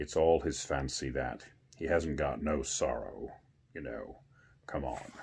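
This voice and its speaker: Putting on a character voice, a man speaks at a very deep, low pitch and a fairly slow pace, with long, frequent pauses. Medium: read story. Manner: colloquial, ungrammatical.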